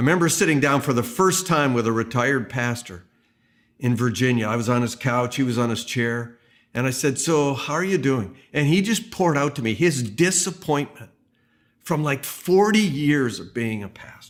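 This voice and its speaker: A man's normal speaking voice, medium in pitch with lively intonation, at a moderate pace on a very clean recording with a silent background. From Canada. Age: 60s. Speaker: pastor. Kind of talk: sermon. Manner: conversational.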